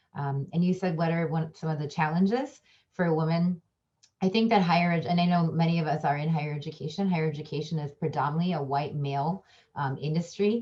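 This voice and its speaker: A woman talks very fast in a fairly low voice, somewhat breathy, with a dark, mellow tone and ordinary pitch variation. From Chicago area, US. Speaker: professor and diversity trainer. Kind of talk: panel discussion. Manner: hesitant, many fillers.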